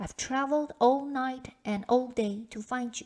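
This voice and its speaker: A woman puts on a character voice at a high pitch. She speaks at a moderate pace. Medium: read story. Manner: polite, insistent.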